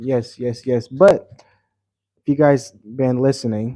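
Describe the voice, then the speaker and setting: Soft-spoken and with an American accent, a man talks at a medium pitch with ordinary pitch variation and a dark, mellow tone. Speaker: travel vlogger. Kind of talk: casual livestream chat. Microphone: mic very close to mouth.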